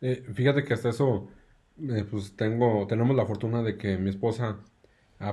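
Somewhat breathy and dark, mellow in tone, a man with a Mexican accent talks at a moderate pace with fairly even intonation. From Mexico, Aguascalientes. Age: 30s. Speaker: engineer, new father. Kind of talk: casual chat.

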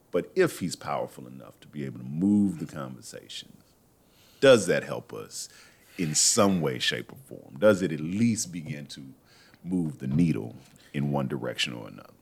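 A man's very deep, low voice with vocal fry, lively intonation, big swings in loudness, and a moderate pace. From Texas. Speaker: radio host. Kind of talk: casual chat. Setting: studio.

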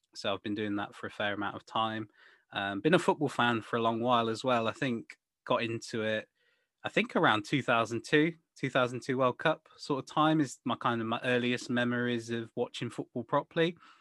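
At a fairly quick pace, a man with an English accent speaks at medium pitch with ordinary pitch variation. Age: 20s. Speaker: football podcast co-host. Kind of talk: casual chat.

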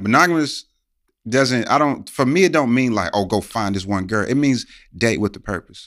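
In a very clean recording with a silent background, a man with a normal speaking voice talks at a moderate pace, medium in pitch, with lively intonation. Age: 30s. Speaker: podcast host. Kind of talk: casual chat.

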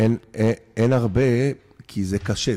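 This man's tone is dark and mellow. The recording is very clean and the background silent. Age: 50s. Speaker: applied anthropologist. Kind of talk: interview.

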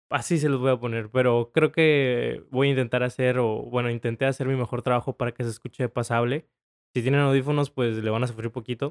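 In a dry, close sound with no echo, a man with a normal speaking voice talks at a fairly quick pace, with medium pitch and fairly even intonation. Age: 20s. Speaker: podcast host. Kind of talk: casual chat. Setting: recording post-episode note. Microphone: new microphone.

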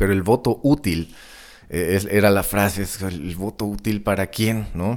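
A man talks with a Mexican accent. His pitch sits fairly low. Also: ordinary pitch variation, fairly slow pace, very clean recording, silent background. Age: 30s. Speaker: podcast host and rock guitarist. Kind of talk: casual solo monologue. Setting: home studio. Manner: hesitant, many fillers.

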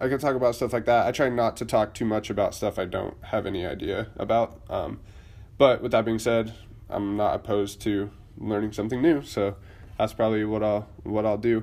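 A man with an unremarkable speaking voice talks at a moderate pace, medium in pitch and fairly even in intonation. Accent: American. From Idaho, US. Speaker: podcast host, Air Force service member. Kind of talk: casual solo monologue. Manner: casual, many filler words.

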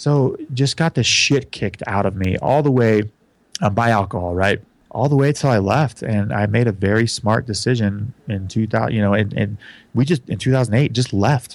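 Recorded very cleanly against a silent background, a man speaks at a moderate pace and medium pitch with ordinary pitch variation and very even loudness. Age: 30s. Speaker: recovery podcast host. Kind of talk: personal testimony in interview. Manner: animated, casual.

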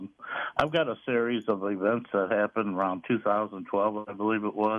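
Speaking at a moderate pace in an American accent, a man has a plain, everyday voice with a fairly low pitch. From St. Louis, Missouri. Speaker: caller. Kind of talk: casual chat. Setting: phone call.

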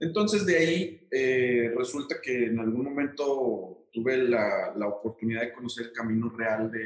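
A man uses an ordinary speaking voice at a medium pitch. He keeps a moderate pace. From Mexico, Aguascalientes. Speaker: architect. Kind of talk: interview.

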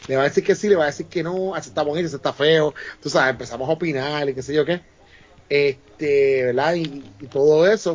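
A plain, everyday voice from a man, with ordinary pitch variation. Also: fairly high pitch for a man, fairly quick pace. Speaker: podcast guest. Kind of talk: casual chat.

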